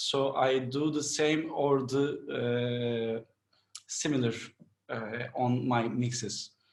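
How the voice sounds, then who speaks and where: A man with a Turkish accent speaks at a very slow pace, with long, frequent pauses. His pitch is medium and his intonation fairly even. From Turkey, Istanbul. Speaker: mixing and mastering engineer. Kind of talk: interview. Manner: halting.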